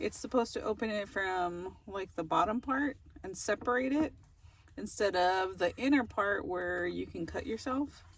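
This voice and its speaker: A mumbling woman at medium pitch, with lively intonation and a moderate pace. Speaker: van life vlogger. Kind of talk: casual cooking vlog. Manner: mumbles, talks under breath.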